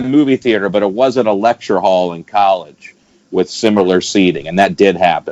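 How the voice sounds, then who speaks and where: A fairly low-pitched man with an American accent and lively intonation, at a moderate pace, in a dry, close sound with no echo. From Alabama, US. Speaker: stand-up comedian. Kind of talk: podcast interview answer. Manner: casual, conversational.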